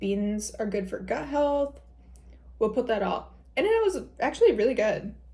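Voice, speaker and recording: A woman with a Michigan accent at a moderate pace. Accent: Midwest accent, Michigan. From Michigan, US Midwest. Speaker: lifestyle vlogger. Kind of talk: casual vlog talk. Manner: casual, chatty.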